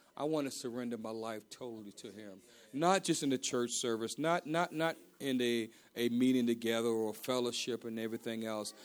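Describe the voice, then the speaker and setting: Big swings in loudness mark this man's speech, delivered in an American accent at a fairly quick pace with a medium pitch and ordinary pitch variation, on a very clean recording with a silent background. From Baltimore, Maryland. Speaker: pastor. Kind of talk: sermon. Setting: church. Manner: halting, frequent repetitions.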